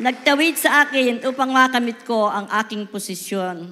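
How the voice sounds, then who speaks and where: A woman speaks in a high pitch at a moderate pace. Her tone is bright and sharp. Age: 70s. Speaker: network marketing distributor. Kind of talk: promotion speech.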